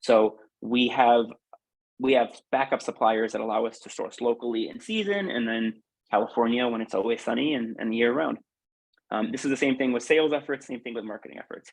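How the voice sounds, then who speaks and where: A man's medium-pitched voice, fairly quick in pace, with ordinary pitch variation and big swings in loudness. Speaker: food business founder. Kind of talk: webinar presentation. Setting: online webinar. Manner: fast.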